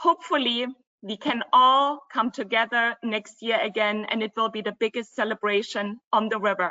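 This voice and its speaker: In a German accent, a woman speaks at a fairly high pitch with ordinary pitch variation. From Germany, Dresden (former East Germany). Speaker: travel company co-founder. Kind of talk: webinar presentation.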